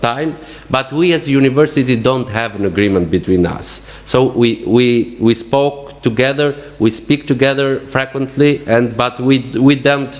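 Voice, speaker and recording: Noticeable background noise sits behind a man with an Albanian accent. He talks at a moderate pace with ordinary pitch variation. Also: medium pitch for a man. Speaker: university representative. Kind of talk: conference panel talk. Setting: conference. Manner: halting, many repetitions.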